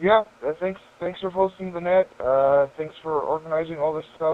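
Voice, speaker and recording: A man is speaking. He has an American accent. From United States. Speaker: ham radio operator. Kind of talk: radio check-in. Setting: amateur radio transmission.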